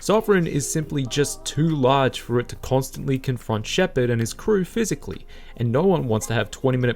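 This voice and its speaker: A man with an Australian accent, fairly quick and with lively intonation. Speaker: video essayist. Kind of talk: scripted narration.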